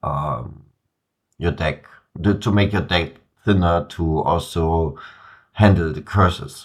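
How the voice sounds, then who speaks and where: A man's voice, very deep and low in pitch. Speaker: card game commentator. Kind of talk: game commentary. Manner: hesitant, many filler words.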